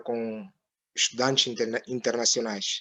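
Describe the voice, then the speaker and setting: This is a man speaking with a Mozambican accent. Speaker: professor, local representative. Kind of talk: informal interview chat.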